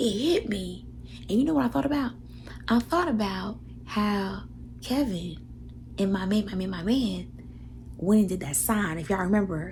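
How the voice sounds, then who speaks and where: A woman whispers fairly slowly, with noticeable noise in the background. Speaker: vlogger. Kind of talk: casual vlog talk. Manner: whispering.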